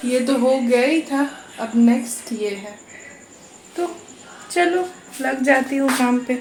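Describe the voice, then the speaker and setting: A soft-spoken woman talks with a high pitch. She leaves long, frequent pauses, and the room echo is audible. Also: ordinary pitch variation. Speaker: vlogger. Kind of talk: casual vlog talk. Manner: slow.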